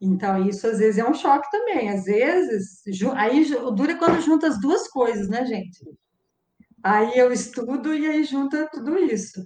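A woman's high voice at a fairly slow pace, with very wide pitch swings. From Brazil, Araras (São Paulo state). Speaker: mathematics professor. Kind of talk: interview.

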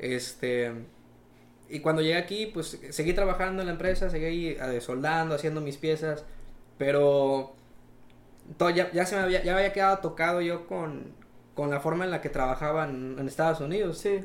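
A man with a fairly high voice speaks at a moderate pace with ordinary pitch variation and long, frequent pauses, over noticeable background noise and audible room echo. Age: 20s. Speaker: young entrepreneur, welder. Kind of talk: casual interview chat.

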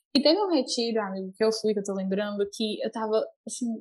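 Her voice has a somewhat breathy quality. The woman's pitch is fairly high, with ordinary variation. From Brazil, Fortaleza (Ceará). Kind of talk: casual chat, faith testimony.

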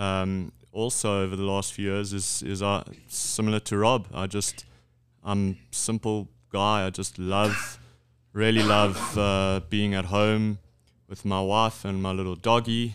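A man's fairly low, flat monotone at a fairly slow pace. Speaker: business executive. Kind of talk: casual interview.

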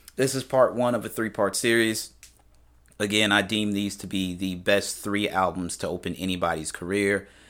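On a very clean recording with a silent background, a man with an American accent speaks in a relaxed tone at a moderate pace and a fairly low pitch. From US Midwest, St. Louis area (University City). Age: 30s. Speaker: podcaster. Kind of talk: casual monologue. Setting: home studio microphone. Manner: relaxed, with many filler words.

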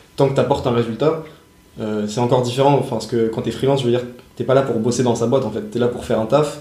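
Talking at a very fast pace, a man uses a medium pitch and fairly even intonation. Audible room echo and noticeable background noise fill the recording. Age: 20s. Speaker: podcast host, young entrepreneur. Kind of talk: casual chat; scripted intro. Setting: in person, on location.

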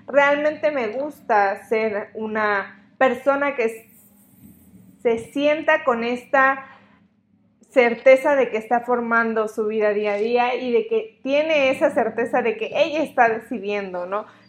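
A woman's high voice at a very slow pace, with ordinary pitch variation. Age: 20s. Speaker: podcast host, psychologist. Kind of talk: solo podcast monologue.

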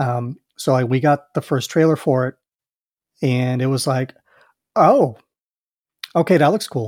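A man with an American accent speaks at a medium pitch and a fairly slow pace, with ordinary pitch variation. He leaves long, frequent pauses, and the sound is dry and close with no echo. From US Midwest, Chicago. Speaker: podcast host. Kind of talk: casual chat. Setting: video call.

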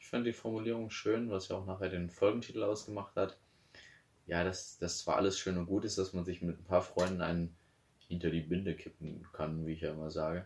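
A man's very deep, low pitch at a fairly quick pace. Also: fairly even intonation. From Bavaria. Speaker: podcast co-host. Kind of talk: casual chat.

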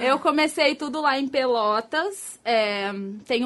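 Lively intonation marks this woman's speech. The background is quiet. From Rio Grande do Sul, Brazil (Porto Alegre area). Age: 30s. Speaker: escort. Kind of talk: casual interview on a live stream.

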